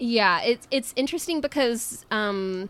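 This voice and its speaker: A woman uses a normal speaking voice, fairly high in pitch, with lively intonation at a fairly slow pace. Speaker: podcast co-host, homeschool parent. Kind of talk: casual interview chat.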